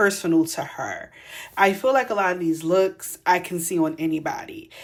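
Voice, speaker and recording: This woman speaks with a Philadelphia accent. Her pitch is medium. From Philadelphia, US. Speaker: fashion stylist and podcast host. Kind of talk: casual commentary monologue. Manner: casual, conversational.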